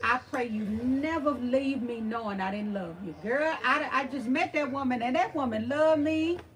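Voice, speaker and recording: With an American accent, a high-pitched woman speaks in an animated tone at a moderate pace with hardly any pauses, over noticeable background noise. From Texas (Beaumont). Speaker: thrift channel host. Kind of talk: livestream chat with viewers. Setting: livestream.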